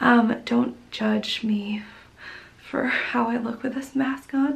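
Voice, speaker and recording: A woman speaks quietly and very slowly at a high pitch, with monotone, flat intonation. Noticeable background noise runs underneath. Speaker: vlogger. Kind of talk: casual vlog talk.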